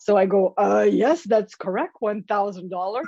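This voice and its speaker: A woman speaks at a moderate pace with a French accent, her sound dry and close with no echo. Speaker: motivational speaker and author. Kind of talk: interview. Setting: podcast. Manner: animated.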